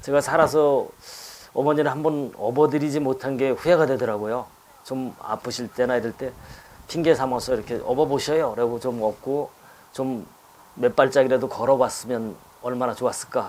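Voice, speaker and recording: A man speaks with a medium pitch and fairly even intonation. His pace is moderate. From Chungcheong, Korea (Chungju). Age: 60s. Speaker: poet. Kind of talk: talk show conversation. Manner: halting.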